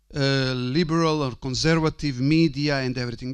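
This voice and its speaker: A man with a Croatian accent at a moderate pace, ordinary pitch variation, quiet background. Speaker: priest and university rector. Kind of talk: conference talk. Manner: halting.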